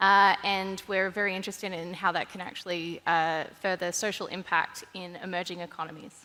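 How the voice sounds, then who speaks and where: With an Australian accent, a woman speaks at medium pitch and a moderate pace in a bright, sharp tone, her intonation monotone and flat, with hardly any pauses. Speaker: investor and columnist, panelist. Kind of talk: panel discussion. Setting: stage with audience.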